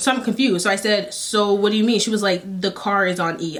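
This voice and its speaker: Very fast speech from a woman at medium pitch, with noticeable background noise. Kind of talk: storytime, casual talk to camera. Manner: animated, conversational.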